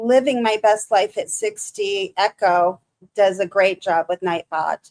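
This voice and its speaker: With a Michigan accent, a woman speaks at a medium pitch with ordinary pitch variation, in a dry, close sound with no echo. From Michigan, US. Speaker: live streamer. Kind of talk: casual live stream chat. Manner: halting.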